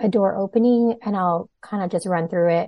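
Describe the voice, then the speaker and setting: Using a plain, everyday voice, a woman talks at a fairly quick pace with lively intonation. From Toronto, Canada. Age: 30s. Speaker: outreach worker. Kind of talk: casual interview.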